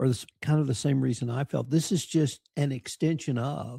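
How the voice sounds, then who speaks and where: Somewhat breathy and fairly high in pitch, a man's voice comes through dry and close with no echo. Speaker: podcast host. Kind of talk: interview questions.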